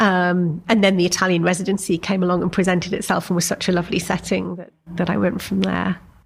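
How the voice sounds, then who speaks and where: Very fast, fairly low-pitched speech from a woman with an English accent, vocal fry, monotone flat intonation and hardly any pauses, on a very clean recording with a silent background. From England. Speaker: novelist. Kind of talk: interview. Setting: breakfast table interview at a college.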